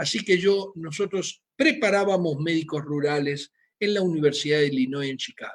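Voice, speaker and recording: A man speaks with a Rioplatense accent. His pitch is fairly high. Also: ordinary pitch variation, moderate pace. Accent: Argentine Rioplatense Spanish. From Argentina, Buenos Aires. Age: 60s. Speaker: physician. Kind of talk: lecture. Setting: video call.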